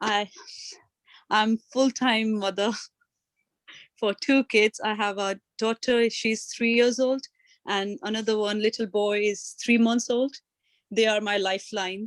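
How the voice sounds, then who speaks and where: A woman with an Indian accent speaks at a fairly slow pace in a fairly high pitch with monotone, flat intonation and long, frequent pauses, in a very clean recording with a silent background and a dry, close sound with no echo. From India, Delhi. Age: 20s. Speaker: adult learner. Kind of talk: personal testimony.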